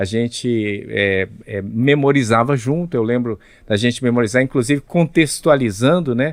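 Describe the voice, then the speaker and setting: This is a plain, everyday voice from a man at a medium pitch. He speaks fairly slowly with ordinary pitch variation. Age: 60s. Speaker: pastor and Bible narrator. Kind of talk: podcast interview.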